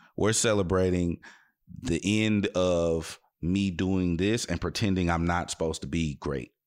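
Speaking with an American accent, a man uses a very deep, low pitch and fairly even intonation at a fairly slow pace. The recording is very clean, with a silent background. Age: 30s. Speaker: radio host and DJ. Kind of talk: casual interview chat.

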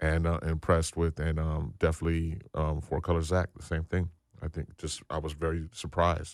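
A man with an American accent speaks at a fairly quick pace in a very deep, low pitch and a monotone, flat intonation. The recording is very clean, with a silent background. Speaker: DJ. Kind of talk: casual interview chat. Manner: casual, rambling.

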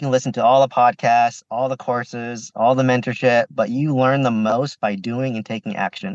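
At a fairly quick pace, a man with a plain, everyday voice speaks at a medium pitch with ordinary pitch variation, dry and close with no echo over a quiet background. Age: 30s. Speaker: pharmacist and real estate investor. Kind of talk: podcast interview.

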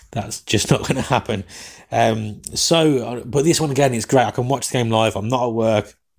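With an English accent, a man speaks using ordinary pitch variation. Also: medium pitch for a man. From England. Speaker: soccer podcast host. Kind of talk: solo podcast match commentary and chat. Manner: fast talker; casual, banter-heavy.

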